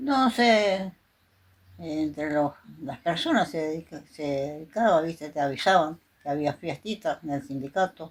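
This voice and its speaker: On a very clean recording with a silent background, a woman speaks fairly slowly in a very deep, low pitch with lively intonation. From Argentina, Chaco. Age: 80s+. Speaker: interviewee. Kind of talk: interview.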